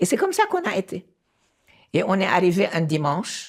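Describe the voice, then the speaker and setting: A woman talks at a moderate speed in a very clean recording with a silent background. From Lebanon, Beirut. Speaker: former diplomat. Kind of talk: interview. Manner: halting.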